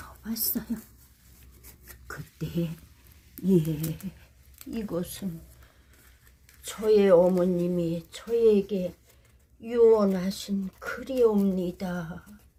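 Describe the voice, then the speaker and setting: With a dark, mellow tone and a somewhat breathy quality, a woman speaks at a very slow pace, leaving long, frequent pauses. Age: 80s+. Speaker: storyteller, actress. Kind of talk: read story. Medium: read story.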